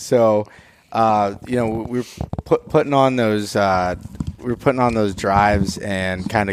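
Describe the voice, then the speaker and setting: A man with an American accent at a fairly low pitch, fairly slow pace and fairly even intonation, amid noticeable background noise. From Pennsylvania.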